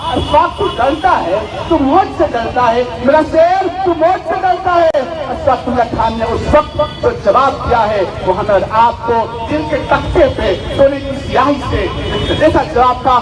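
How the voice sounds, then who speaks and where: With music in the background, a man speaks in an extremely high voice with lively intonation. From Gujarat, India. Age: young. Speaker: poet. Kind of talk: protest rally speech. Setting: outdoors. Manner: bold, outspoken.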